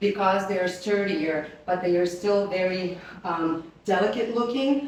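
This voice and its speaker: Amid noticeable background noise and audible room echo, a woman speaks at a fairly slow pace with a medium pitch and ordinary pitch variation. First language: not English. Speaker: flower company presenter. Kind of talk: live product presentation. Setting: live stream on camera. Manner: casual, chatty.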